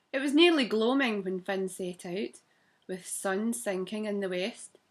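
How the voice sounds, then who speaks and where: A woman with a Scottish accent talks at a fairly slow pace. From Scotland. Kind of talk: children's story reading.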